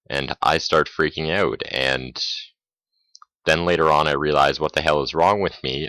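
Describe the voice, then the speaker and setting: A man's very deep, low voice with fairly even intonation, vocal fry, a bright, sharp tone and a dry, close sound with no echo. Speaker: gamer commentator. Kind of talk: gameplay commentary. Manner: mumbling, hesitant.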